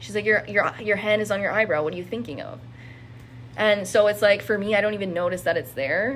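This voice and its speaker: A woman's voice with very wide pitch swings and vocal fry. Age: 20s. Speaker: insurance worker sharing mental health story. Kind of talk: personal testimony.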